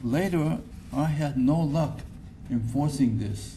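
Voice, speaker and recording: Vocal fry runs through a man's dark, mellow tone. His intonation is lively, over light background noise. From Japan. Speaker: retired physics professor. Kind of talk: acceptance speech. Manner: halting. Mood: reflective, warm. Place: hall. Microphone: podium.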